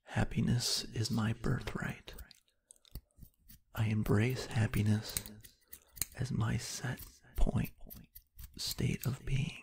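The speaker is soft-spoken and talks at a very slow pace. Long, frequent pauses break up the speech. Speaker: ASMR creator. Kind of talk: positive affirmations read.

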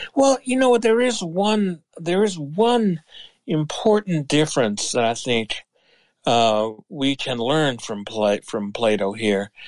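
A man talks at a very slow pace. His pitch sits fairly high and swings very widely. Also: quiet background. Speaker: business school professor and philosopher. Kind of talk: interview conversation.

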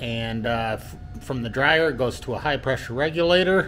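Music plays in the background as a man speaks with lively intonation. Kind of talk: casual workshop tour. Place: workshop. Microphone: phone near.

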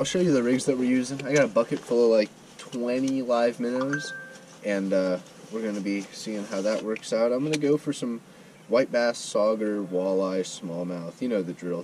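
Light background noise sits behind a man's voice. He talks at a moderate pace with ordinary pitch variation. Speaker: angler vlogger. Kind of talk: casual vlog chat. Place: waterside. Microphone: camera far.

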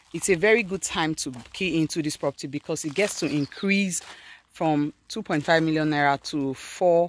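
A woman with a Nigerian accent speaks in a very deep, low voice with ordinary pitch variation. The sound is dry with no echo. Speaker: real estate agent. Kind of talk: street seller pitch, direct sales pitch. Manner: persuasive, upbeat. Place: open country. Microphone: phone near.

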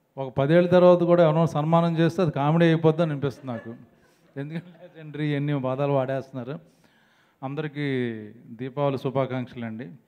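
Fairly high in pitch, a man speaks with fairly even intonation. His loudness swings a lot. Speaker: film actor. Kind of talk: humorous speech at a film trailer launch event. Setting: stage microphone at press event. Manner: joking, playful. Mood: joking, light humorous. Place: stage. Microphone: handheld.

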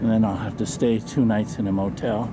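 The pace is fairly slow, and the intonation fairly even. Background noise is clearly audible. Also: man.

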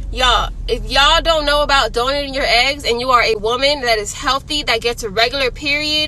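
With an American accent, a woman projects her voice at a high pitch, speaking at a moderate pace with lively intonation, the sound dry with no echo and light background noise behind her. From Miami-Dade County, Florida; Florida. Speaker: vlogger. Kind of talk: casual vlog. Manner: animated.

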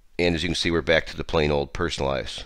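Very deep and low, a man's voice with vocal fry races at a very fast pace with fairly even intonation. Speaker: tech tutorial host. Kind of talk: software tutorial screencast narration. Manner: casual.

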